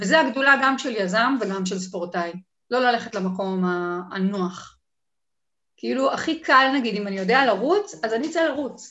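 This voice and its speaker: Here a woman speaks in an ordinary speaking voice at a fairly high pitch. She moves at a moderate pace with lively intonation. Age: 40s. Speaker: online entrepreneur and community manager. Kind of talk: casual interview.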